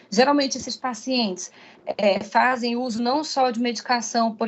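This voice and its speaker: A woman's fairly high voice at a moderate pace, an ordinary speaking voice with fairly even intonation. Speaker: pharmacist, guest lecturer. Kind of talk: online lecture. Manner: frequent fillers and repetitions.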